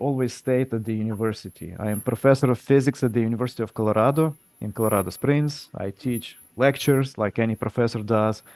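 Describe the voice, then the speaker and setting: A medium-pitched man with a non-native accent, very fast pace, and hardly any pauses. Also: dry, close sound with no echo. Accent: foreign. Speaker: physics professor. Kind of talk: presentation at public meeting. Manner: halting with fillers.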